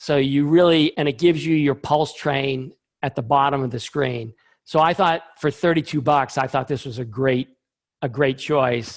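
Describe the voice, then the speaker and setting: Here is a man with an ordinary speaking voice, fairly high in pitch. His intonation is fairly even and his pace moderate. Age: 60s. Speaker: scientist, invited speaker. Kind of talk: Q&A session in a webinar talk. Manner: casual, with many fillers.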